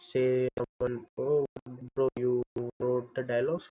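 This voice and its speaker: A quiet man's voice at a medium pitch, fairly slow in pace, with fairly even intonation. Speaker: video editor livestreamer. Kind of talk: casual livestream talk while working. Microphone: far from the camera mic.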